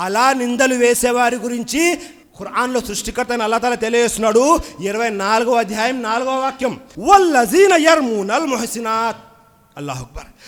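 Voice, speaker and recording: This man's voice sits at an extremely high pitch, with ordinary pitch variation. Noticeable background noise runs under it. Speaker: Islamic preacher. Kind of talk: Islamic sermon / reminder. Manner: earnest, exhortative, speaking directly to the audience.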